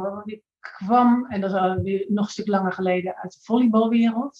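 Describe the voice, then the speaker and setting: Her delivery moves at a moderate pace. This woman's intonation stays fairly even. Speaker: triathlete and coach; coach. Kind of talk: casual chat. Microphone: video call.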